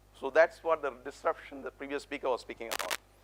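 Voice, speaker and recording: A man speaks with an Indian accent. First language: non-English (Indian language). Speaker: motivational speaker, public speaking champion. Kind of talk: conference keynote talk. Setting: stage with audience. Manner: animated, engaging with audience.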